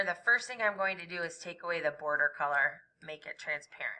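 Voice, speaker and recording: A woman talks in a plain, everyday voice. Her intonation is lively, and her loudness swings widely. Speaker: art teacher. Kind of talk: tutorial.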